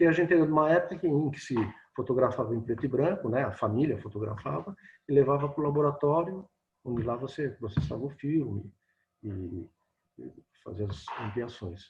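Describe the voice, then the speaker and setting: A man with a medium-pitched voice and vocal fry speaks at a moderate pace with lively intonation. He leaves long, frequent pauses. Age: 60s. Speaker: photojournalist and photography teacher. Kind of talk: casual interview chat. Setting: video call.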